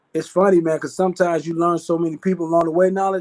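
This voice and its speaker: Very fast, a man speaks at high pitch. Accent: American. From Chicago, West Side. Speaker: network marketer. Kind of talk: interview. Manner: casual, filler-heavy; stumbling, repeats words.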